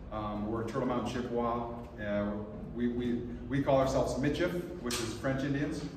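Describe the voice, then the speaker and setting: Noticeable background noise and audible room echo surround the recording. A man speaks with fairly even intonation. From US, western North Dakota. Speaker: nonprofit founder and panel moderator. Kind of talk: conference presentation and panel moderation. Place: meeting room. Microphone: camera far.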